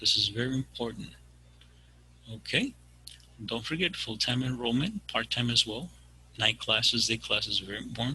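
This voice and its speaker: A medium-pitched man with a bright, sharp tone, ordinary pitch variation and long, frequent pauses. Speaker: career services presenter. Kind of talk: webinar presentation. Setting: video call. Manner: fast.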